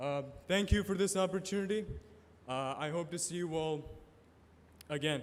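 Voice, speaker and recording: A man talks in a high pitch. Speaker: first-year student. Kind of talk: impromptu speech. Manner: slurring words.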